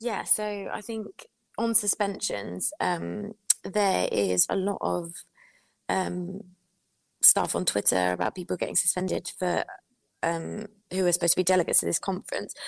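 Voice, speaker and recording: Long, frequent pauses break up a woman's moderate-paced speech, recorded dry and close with no echo. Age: young. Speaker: party executive committee member. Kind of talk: political discussion. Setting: video call.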